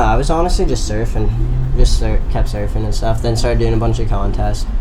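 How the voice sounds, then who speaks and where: A man with an American accent talks at a fairly quick pace with hardly any pauses and very even loudness. Audible room echo and noticeable background noise fill the recording. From North Florida. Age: young. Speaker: surfer. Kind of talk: interview. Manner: hesitant, filler-heavy.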